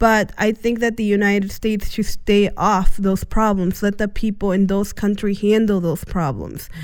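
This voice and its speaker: A woman with an American accent, medium pitch and a monotone, flat intonation. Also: moderate pace, hardly any pauses. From US, Indiana (born Guatemala, came at age one). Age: young. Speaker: community worker. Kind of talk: interview. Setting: studio. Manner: halting, many fillers.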